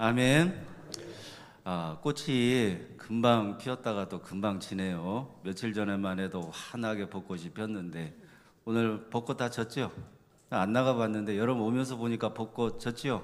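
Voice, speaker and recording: A man talks very slowly at a medium pitch, his pitch varying in an ordinary way. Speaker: pastor. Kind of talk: sermon. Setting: church.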